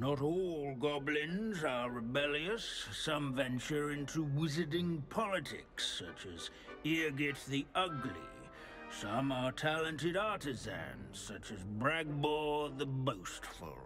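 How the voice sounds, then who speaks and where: Over clear background noise, a man does a put-on character voice at a fairly slow pace. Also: fairly high pitch for a man. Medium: video game. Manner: droning, pedantic.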